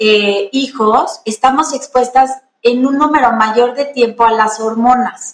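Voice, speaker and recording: Her loudness very even, a woman talks at a high pitch and a very slow pace with fairly even intonation. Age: 40s. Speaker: gynecologist. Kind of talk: interview.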